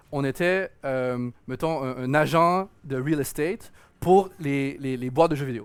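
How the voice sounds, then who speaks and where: At a very slow pace, a man talks with a fairly high pitch and ordinary pitch variation. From Quebec, Montreal. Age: 30s. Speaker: game producer. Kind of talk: interview. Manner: halting, many repetitions.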